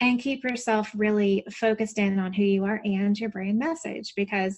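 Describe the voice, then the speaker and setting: A woman with a Southern US accent, medium pitch, moderate pace and fairly even intonation. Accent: Southern American. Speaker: business strategist and coach. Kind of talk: podcast interview answer.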